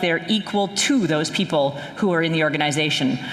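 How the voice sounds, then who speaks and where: With lively intonation, a woman talks at a fairly quick pace. There is noticeable background noise. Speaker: sales strategy expert, conference speaker. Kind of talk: keynote talk. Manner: animated.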